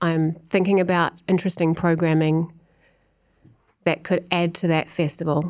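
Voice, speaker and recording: With a New Zealand accent, the speaker holds a monotone, flat intonation and very even loudness at a moderate pace, broken by long, frequent pauses. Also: woman, fairly low pitch for a woman. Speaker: music industry executive. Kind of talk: casual interview.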